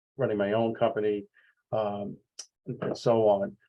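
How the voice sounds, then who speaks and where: Speaking at a fairly slow pace, a man with a New York accent talks at a medium pitch. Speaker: sales executive. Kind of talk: webinar presentation. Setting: video call. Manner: halting, many fillers.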